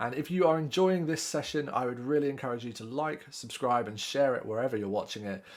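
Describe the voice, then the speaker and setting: A man with a British accent talks very fast at medium pitch. He sounds enthusiastic, with ordinary pitch variation. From UK. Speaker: podcast host, tech company CEO. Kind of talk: podcast interview.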